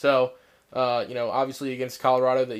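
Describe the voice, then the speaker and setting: A man speaks at medium pitch with an American accent. The recording is very clean, with a silent background. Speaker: sports podcast co-host. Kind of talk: casual sports chat.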